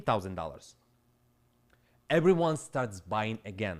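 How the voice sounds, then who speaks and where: A man with a Ukrainian accent and vocal fry talks at a fairly slow pace, his pitch swinging very widely. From Ukraine. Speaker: crypto trader and streamer. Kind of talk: live stream rant. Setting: live stream. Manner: animated.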